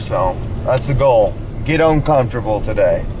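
A man talks at a moderate pace with ordinary pitch variation, over noticeable background noise. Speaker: off-road vlogger. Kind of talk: casual vlog chat. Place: car. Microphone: phone near.

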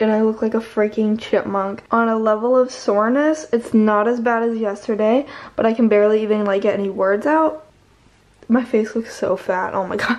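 Mumbling at a moderate pace, a woman speaks with fairly even intonation. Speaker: vlogger. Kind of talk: casual vlog chat. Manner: swollen-jawed, stiff, sore mumbling speech.

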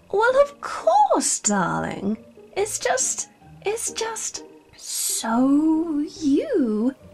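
Someone performs a put-on character voice with faint music in the background. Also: woman. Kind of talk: comic overacting. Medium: machinima. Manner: posh, theatrical, dismissive and condescending.

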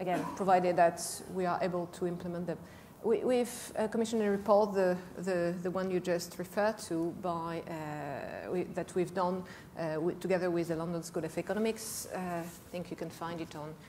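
Female voice with a dark, mellow tone and fairly even intonation at a moderate pace, over light background noise. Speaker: panelist. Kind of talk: panel discussion answer. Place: stage. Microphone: lapel.

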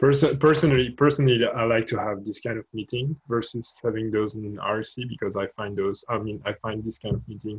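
Somewhat breathy, a man speaks at a fairly quick pace with hardly any pauses and fairly even intonation. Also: quiet background. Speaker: open-source contributor. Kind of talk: online project meeting. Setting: video call. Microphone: video call.

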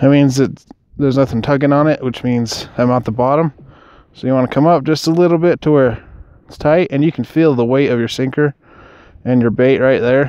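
This man talks at a moderate pace in a clear, smooth, slightly mellow tone with fairly even intonation. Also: medium pitch for a man.

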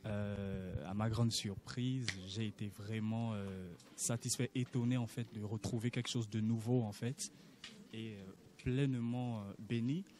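A man talks very slowly at medium pitch, with long, frequent pauses. His tone is dark and mellow, his intonation fairly even. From Gabon. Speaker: student attending church session. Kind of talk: interview answers, testimony.

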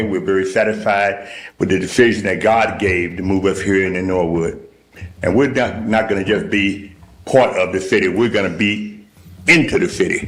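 Amid audible room echo, a man with a fairly low pitch talks at a fairly quick pace and ordinary pitch variation. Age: 70s. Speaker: church leader addressing council. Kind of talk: public comment at council meeting. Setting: city council meeting. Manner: animated.

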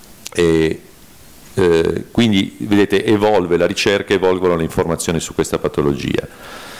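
A very deep, low male voice with fairly even intonation amid noticeable background noise. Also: moderate pace. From Piedmont, Italy. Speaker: neurologist. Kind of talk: conference talk. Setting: conference hall with audience.

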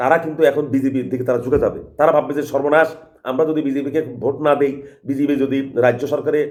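A man's fairly high, monotone voice with flat intonation. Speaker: political commentator. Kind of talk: political monologue.

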